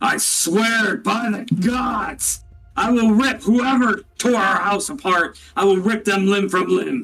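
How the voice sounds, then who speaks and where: A man's put-on character voice, high in pitch and very even in loudness, at a fairly slow pace over background music. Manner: intimidating.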